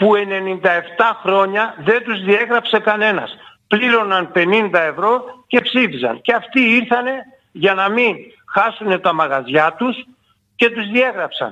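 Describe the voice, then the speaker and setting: Pitched high, a man's voice moves at a fairly slow pace with ordinary pitch variation. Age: 70s. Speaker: former football club president and player. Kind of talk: radio interview.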